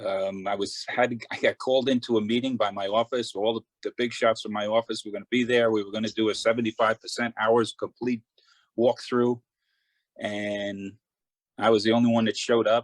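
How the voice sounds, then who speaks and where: In a New York accent, a man speaks fairly quickly with a medium pitch and monotone, flat intonation. The sound is dry and close, with no echo. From Long Island, New York. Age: 60s. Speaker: glazier, award nominee. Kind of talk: interview.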